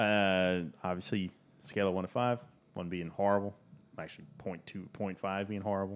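A man talks at a fairly quick pace in a fairly low voice, leaving long, frequent pauses. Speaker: podcast host. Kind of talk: casual chat. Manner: animated.

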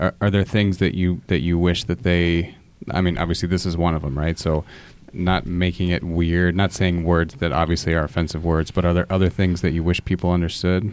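A man speaks with a very deep, low pitch at a fairly quick pace. His intonation is monotone and flat. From Fort Wayne, Indiana. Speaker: teacher and podcast host. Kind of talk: moderated discussion. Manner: hesitant, many fillers.

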